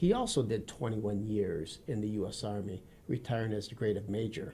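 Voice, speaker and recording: Speaking at a fairly quick pace with an American accent, a man with a fairly low pitch and a dark, mellow tone sounds somewhat breathy, his pitch varying in an ordinary way. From Wisconsin, US Midwest. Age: 50s. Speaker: retired army officer and former police officer. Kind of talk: interview. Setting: studio.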